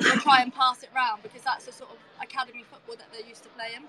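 Projecting a raised, high-pitched voice, a woman speaks very fast in a flat monotone. There is noticeable background noise. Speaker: women's football captain and guest pundit. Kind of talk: match punditry chat.

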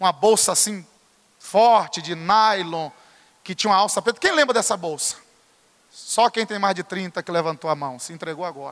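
At a high pitch and a moderate pace, a man talks in an animated tone with ordinary pitch variation, big swings in loudness and long, frequent pauses, in a dry, close sound with no echo. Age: 30s. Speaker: pastor. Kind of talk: sermon.

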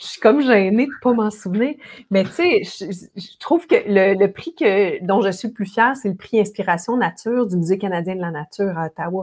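This woman's loudness swings widely while she keeps a moderate pace. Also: medium pitch for a woman, lively intonation. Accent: Quebec. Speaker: ocean rower and adventurer, speaker. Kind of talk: interview conversation.

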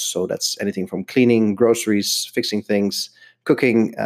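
A man talks with a Dutch accent. His pitch sits at a medium level. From Netherlands. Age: 30s. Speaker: stay-at-home dad podcaster. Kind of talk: solo podcast monologue. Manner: hesitant with frequent fillers.

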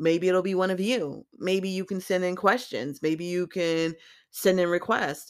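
A woman with an American accent, medium pitch, fairly even intonation and a fairly slow pace, on a very clean recording with a silent background. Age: 40s. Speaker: podcast host, electrician. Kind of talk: personal monologue.

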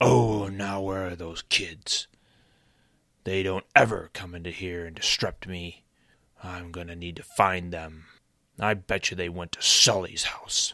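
Using a put-on character voice, a man speaks with a very deep, low pitch. His pace is fairly slow. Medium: read story. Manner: angry, threatening, irritable.

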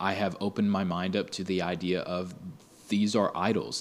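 This man has an unremarkable speaking voice. His pitch is fairly low. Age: 20s. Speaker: podcast host. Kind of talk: casual monologue.

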